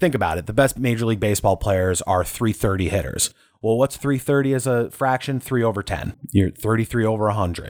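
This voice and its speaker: A man talks at a fairly quick pace with hardly any pauses, in a plain, everyday voice at medium pitch. His pitch variation is ordinary, and the sound is dry and close with no echo. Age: 30s. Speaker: podcast host and voice actor. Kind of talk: solo podcast monologue.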